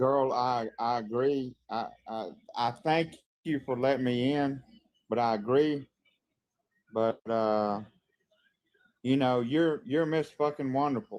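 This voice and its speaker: Pitch varies in an ordinary way as a man speaks at a very slow pace. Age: 60s. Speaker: live stream guest. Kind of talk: casual chat. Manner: halting.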